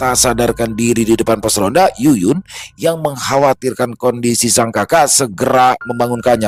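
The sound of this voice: The reading voice is unforced. Its pitch varies in an ordinary way.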